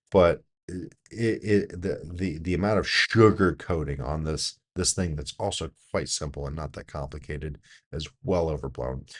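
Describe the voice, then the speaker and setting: Against a quiet background, a man speaks with a very deep, low pitch and vocal fry. His pace is fairly slow, with ordinary pitch variation. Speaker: business doctor reviewing productivity videos. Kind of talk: video commentary.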